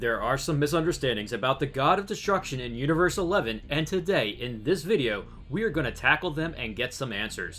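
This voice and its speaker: Music plays in the background as a man with an American accent talks at a fairly quick pace with hardly any pauses. His pitch is fairly high and swings very widely. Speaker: YouTube anime theory narrator. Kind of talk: scripted narration.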